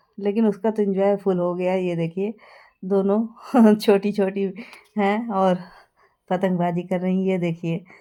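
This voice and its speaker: A woman's dark, mellow tone sits at a medium pitch, with monotone, flat intonation. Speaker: vlogger. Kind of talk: vlog narration. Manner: conversational, with fillers.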